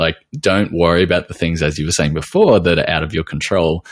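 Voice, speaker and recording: A man with an Australian accent and lively intonation on a very clean recording with a silent background. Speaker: podcast host, nutritional therapist. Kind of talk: interview; scripted intro narration.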